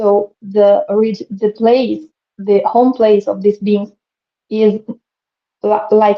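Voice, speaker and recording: The speaker has a non-native accent. The intonation stays monotone and flat. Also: woman. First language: not English. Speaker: spiritual speaker, channeler. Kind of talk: live stream interview. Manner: halting, many fillers.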